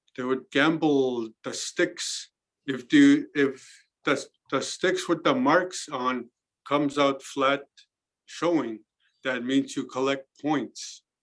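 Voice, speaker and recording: On a very clean recording with a silent background, a man speaks at a fairly high pitch. He goes at a very slow pace with fairly even intonation. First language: Cree. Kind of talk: interview. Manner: halting, with many fillers and repetitions.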